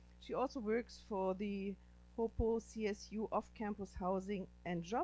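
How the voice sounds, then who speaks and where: A woman speaks with a German accent. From Germany. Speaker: professor and panel moderator. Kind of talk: panel introduction.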